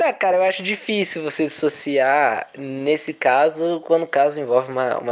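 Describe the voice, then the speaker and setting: A man's fairly high voice with ordinary pitch variation, moderate pace and hardly any pauses, on a very clean recording with a silent background. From São Paulo interior, Brazil (Indaiatuba). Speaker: physical education student, football commentator. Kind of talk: casual football discussion podcast.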